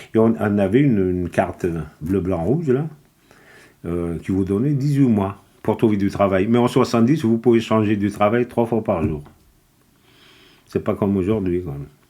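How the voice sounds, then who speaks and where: Speaking at a moderate pace, a man has a fairly low pitch and a dark, mellow tone. He leaves long, frequent pauses. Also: lively intonation. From Kabylie, Algeria. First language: Kabyle (speaking French). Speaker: immigrant worker. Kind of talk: interview. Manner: halting.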